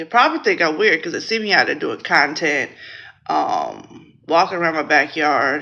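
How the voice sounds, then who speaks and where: A woman's moderately paced speech is heard against noticeable background noise. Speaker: network marketing team trainer. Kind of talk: casual training talk. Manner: loud; quieter than usual.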